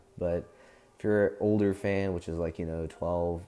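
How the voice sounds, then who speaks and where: Music plays in the background as a man with a very deep, low pitch speaks at a moderate pace in a monotone, flat intonation. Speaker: fan-series creator and voice actor. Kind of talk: casual talk to camera.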